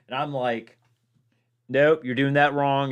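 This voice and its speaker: A man with a Virginia accent at a moderate pace. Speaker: gaming streamer. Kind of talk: casual chat. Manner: halting.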